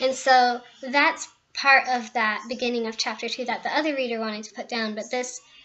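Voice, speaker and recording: A fairly high-pitched female voice with fairly even intonation and a moderate pace, with music in the background. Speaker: author. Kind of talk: casual talk to camera.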